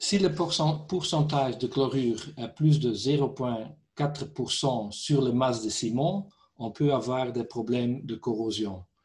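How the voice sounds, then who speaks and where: A man with a Dutch accent speaks at a fairly slow pace in a somewhat breathy, medium-pitched voice with ordinary pitch variation. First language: Dutch (speaking French). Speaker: company director, concrete repair specialist. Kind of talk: technical webinar presentation. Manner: halting, hesitant.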